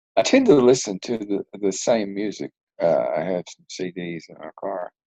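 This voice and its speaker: In a dry, close sound with no echo, a man with a Southern US accent speaks with big swings in loudness. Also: moderate pace. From US South, Arkansas hills. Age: 60s. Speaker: retired police detective. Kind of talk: interview. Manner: halting.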